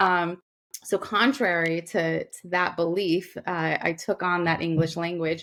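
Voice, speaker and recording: A woman with a New York accent speaks at a fairly slow pace, her pitch fairly low and her intonation fairly even. The recording is very clean, with a silent background. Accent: New York American. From US, Queens, New York. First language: Gujarati. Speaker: doctor, lawyer and author. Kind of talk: podcast interview. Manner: halting.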